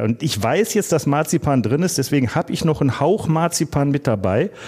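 The voice has a dark, mellow tone with vocal fry. It moves at a moderate pace with very wide pitch swings. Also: man. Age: 50s. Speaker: podcast co-host, former publican and home brewer. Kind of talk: casual chat.

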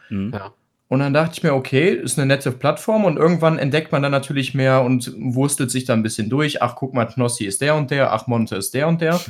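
On a very clean recording with a silent background, a man with an unremarkable speaking voice and fairly high pitch talks at a fairly quick pace with ordinary pitch variation. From Krefeld, Lower Rhine, western Germany. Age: 30s. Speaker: Twitch streamer. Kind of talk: casual chat.

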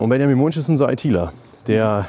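A man talks at a fairly quick pace. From Germany, Lower Rhine (Neukirchen-Vluyn). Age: 30s. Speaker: metal festival organiser and video editor. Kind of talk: interview. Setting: outdoors.

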